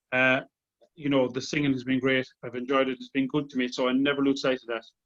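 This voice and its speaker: At a very fast pace, a man speaks in a medium pitch with monotone, flat intonation. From Ireland. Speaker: tenor singer. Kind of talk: casual interview chat.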